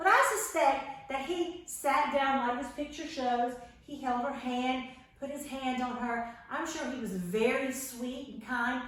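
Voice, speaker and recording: A loud, high-pitched woman at a fairly slow pace, ordinary pitch variation and audible room echo. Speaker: children's Bible class teacher. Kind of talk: children's Bible lesson. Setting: home, camera across the room. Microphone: camera far across the room.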